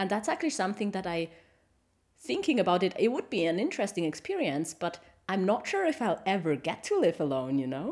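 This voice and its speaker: A woman speaks at medium pitch with very wide pitch swings and a fairly quick pace. The recording is very clean, with a silent background. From Switzerland. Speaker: podcast co-host. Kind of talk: casual chat.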